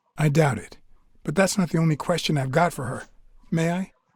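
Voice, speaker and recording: A man does a put-on character voice that is raspy and fairly high. He talks at a fairly quick pace on a very clean recording with a silent background. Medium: video game. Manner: terse, dry.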